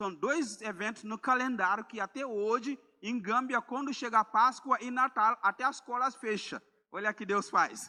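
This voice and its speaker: A man's raised, projected voice at an extremely high pitch, bright and sharp in tone, with ordinary pitch variation, a moderate pace, and a dry, close sound with no echo. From Gambia. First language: Mandinka or another Gambian language (speaking Portuguese). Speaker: missionary preacher. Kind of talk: sermon. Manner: halting, with repeated words.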